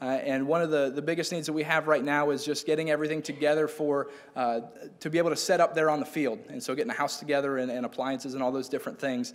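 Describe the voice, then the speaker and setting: With ordinary pitch variation, the talking moves at a very fast pace. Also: man, fairly high pitch for a man. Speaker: missionary. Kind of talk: testimony. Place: church. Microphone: podium.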